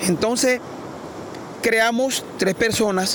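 Noticeable noise runs through the background. Over it, a man talks with ordinary shifts in pitch. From Colombia, La Guajira coast. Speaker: artisanal fisherman. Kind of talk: interview storytelling. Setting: outdoors by the sea.

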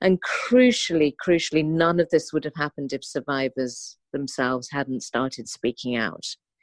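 A speaker with a London accent talks at a moderate pace with lively intonation, in a dry, close sound with no echo. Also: woman, very deep, low pitch for a woman. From London, England. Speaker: charity founder and activist. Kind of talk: interview.

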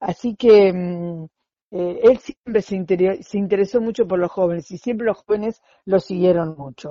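Speaking fairly slowly in an Argentine accent, a woman uses a medium pitch with ordinary pitch variation. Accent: Rioplatense Argentine Spanish. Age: 60s. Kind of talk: interview. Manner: halting, many fillers.

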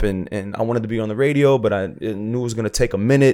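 Talking at a very fast pace, a man uses a fairly low pitch with fairly even intonation. He has an American accent. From South Florida (Broward). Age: 30s. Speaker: DJ and radio personality. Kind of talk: casual chat.

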